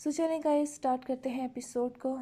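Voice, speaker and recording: The woman's tone is dark and mellow, and her intonation is fairly even. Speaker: novel writer and reader. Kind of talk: reading aloud; casual chat to viewers.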